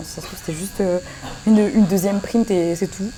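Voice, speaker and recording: A woman speaks at a medium pitch and a very fast pace. Noticeable background noise runs underneath. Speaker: YouTuber opening Pokémon card boosters. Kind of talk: casual vlog chat. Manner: animated.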